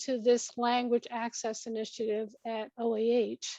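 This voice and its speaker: The sound is dry and close with no echo, and the background is quiet. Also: woman. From Moses Lake, Washington (emigrated from Hong Kong at five). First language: Chinese. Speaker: government agency director. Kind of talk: formal presentation. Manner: formal.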